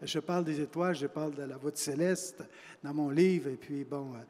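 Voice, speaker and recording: A man is speaking here. His intonation stays fairly even. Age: 60s. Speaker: author. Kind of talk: panel discussion. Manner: hesitant, many fillers and repetitions.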